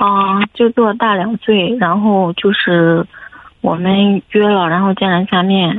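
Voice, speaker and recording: At a very slow pace, a woman speaks at a medium pitch. Her intonation is fairly even and her loudness very even. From Henan, China. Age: 20s. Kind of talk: phone call-in. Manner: hesitant. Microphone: echo on the line.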